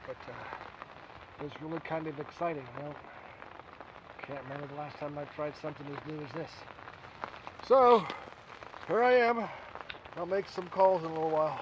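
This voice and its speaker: Lively intonation and big swings in loudness come at a fairly quick pace, in a dry sound with no echo over light background noise. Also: man. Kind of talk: casual vlog chat. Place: tent. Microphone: phone near.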